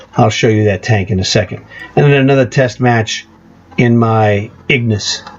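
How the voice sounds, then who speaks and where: Over noticeable background noise, a man speaks with a fairly low pitch and fairly even intonation. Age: 60s. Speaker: gaming youtuber. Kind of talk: gameplay commentary.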